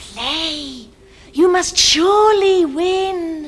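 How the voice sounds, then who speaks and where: A woman puts on a character voice with an extremely high pitch. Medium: short film. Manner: coy, playful.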